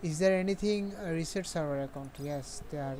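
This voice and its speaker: The pace stays moderate. A non-native accent is audible. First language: not English. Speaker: gaming streamer. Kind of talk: live game stream commentary. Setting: live stream at home. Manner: halting.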